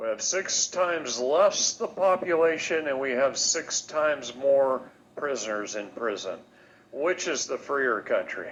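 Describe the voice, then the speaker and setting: A man speaks with lively intonation at a fairly slow pace. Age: 60s. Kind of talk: casual chat.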